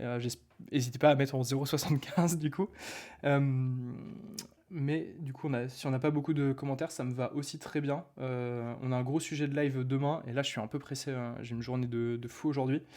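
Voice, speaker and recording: Pitched fairly high, a man's voice has a dark, mellow tone and moves at a fairly quick pace. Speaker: online marketing coach. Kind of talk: live stream talk. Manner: fast; animated.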